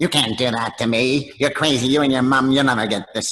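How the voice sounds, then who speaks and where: This man uses a put-on character voice at a medium pitch. His intonation stays fairly even, and his pace is fairly quick. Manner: mean.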